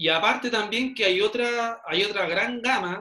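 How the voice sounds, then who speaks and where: A man at a fairly slow pace. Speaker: podcast host, fitness trainer. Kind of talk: casual chat.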